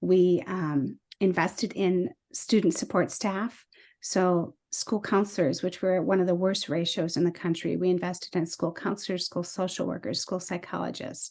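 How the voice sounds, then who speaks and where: Against a quiet background, a woman speaks at a medium pitch with fairly even intonation. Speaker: state legislator. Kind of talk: policy presentation. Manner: fast.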